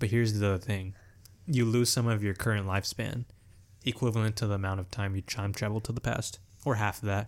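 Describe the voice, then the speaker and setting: On a very clean recording with a silent background, a man with a plain, everyday voice talks at a fairly quick pace, fairly low in pitch with fairly even intonation. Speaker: podcast host. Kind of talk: casual chat.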